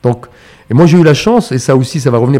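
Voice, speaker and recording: A man at medium pitch has a dark, mellow tone and ordinary pitch variation. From Morocco, Casablanca. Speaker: chartered accountant and entrepreneur. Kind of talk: interview conversation. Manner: hesitant, many fillers and repetitions.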